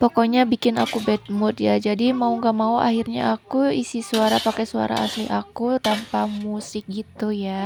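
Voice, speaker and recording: Fairly high in pitch, a woman speaks at a moderate pace in a monotone, flat intonation over noticeable background noise. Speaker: home cooking vlogger. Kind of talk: cooking voice-over narration. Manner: casual, chatty.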